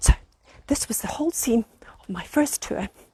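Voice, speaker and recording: Whispering at a fairly quick pace, a woman comes through in a dry, close recording with no echo. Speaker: vlogger. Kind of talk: comic tour-guide vlog. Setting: outdoors in garden.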